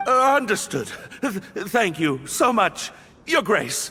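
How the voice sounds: A man's put-on character voice, high and bright with a sharp tone, slow, with big pitch swings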